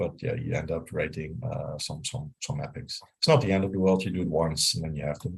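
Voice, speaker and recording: Very deep and low, a man's somewhat breathy voice comes at a moderate pace with a Dutch accent. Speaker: software engineer, CTO. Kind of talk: technical talk with live demo. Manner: hesitant, many fillers.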